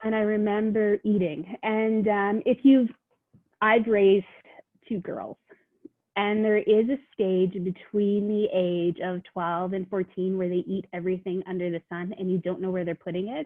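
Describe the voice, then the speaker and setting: A woman's normal speaking voice with a Canadian accent, medium pitch, fairly even intonation and a moderate pace. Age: 40s. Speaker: social worker. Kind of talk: podcast interview.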